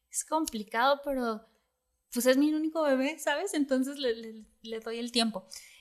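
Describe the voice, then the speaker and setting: Her loudness swinging widely, a woman with a high pitch and ordinary pitch variation speaks at a moderate pace. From Mexico, Puerto Vallarta. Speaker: dentist. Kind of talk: casual chat.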